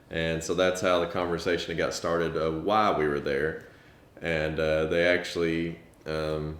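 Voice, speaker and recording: In a monotone, flat delivery, a man with a very deep, low pitch speaks at a fairly slow pace amid audible room echo. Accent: Southern US. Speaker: parent of child with rare disease, family vlogger. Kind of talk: casual storytelling.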